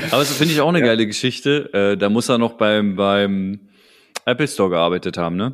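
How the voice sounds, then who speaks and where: Against a silent background in a very clean recording, a man of medium pitch speaks at a fairly quick pace with lively intonation and very even loudness. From Berlin. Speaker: rap podcast host. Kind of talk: casual chat. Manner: animated.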